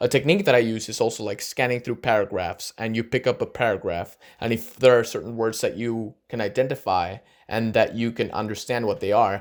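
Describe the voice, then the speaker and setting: On a very clean recording with a silent background, a man with a Spanish accent talks fairly quickly at a medium pitch with fairly even intonation. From Argentina. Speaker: youtuber. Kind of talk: vlog advice talk.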